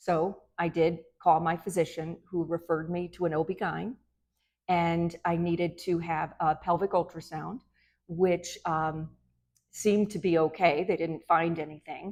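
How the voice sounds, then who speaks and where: A woman has an unremarkable speaking voice with a fairly low pitch. She talks at a moderate pace with fairly even intonation. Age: 60s. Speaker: physician. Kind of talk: medical advice talk to camera.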